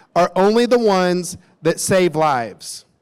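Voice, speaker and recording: An animated man with an American accent. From US South, Nashville, Tennessee. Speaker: company executive. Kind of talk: conference talk. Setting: stage with audience.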